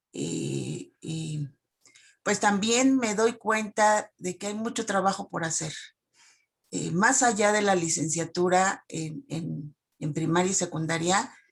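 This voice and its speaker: A woman with vocal fry at a very slow pace, with ordinary pitch variation. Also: medium pitch for a woman. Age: 60s. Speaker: teacher. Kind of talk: Q&A comment in online talk. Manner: halting.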